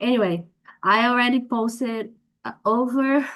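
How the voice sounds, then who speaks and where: A woman speaks with a Portuguese accent at a fairly slow pace. Her voice is high in pitch with fairly even intonation. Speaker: workshop participant, academic content creator. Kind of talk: question in workshop. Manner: halting.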